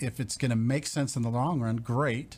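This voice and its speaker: A man's voice comes across somewhat breathy, with fairly even intonation. The recording is very clean, with a silent background. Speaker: mortgage lender. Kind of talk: radio interview. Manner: fast.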